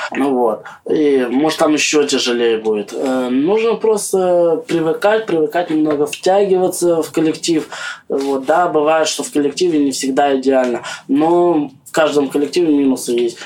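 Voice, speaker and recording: A man speaks with lively intonation in a fairly high pitch, with noticeable background noise behind him. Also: moderate pace. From Siberia, Russia (Belovo, Kemerovo region). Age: 20s. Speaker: homeless man. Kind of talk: interview.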